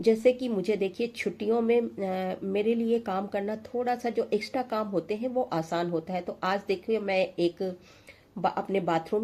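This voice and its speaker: Dark, mellow tone from a woman at a medium pitch, fairly slow in pace and fairly even in intonation. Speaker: homemaker lifestyle vlogger. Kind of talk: tutorial. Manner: hesitant with fillers.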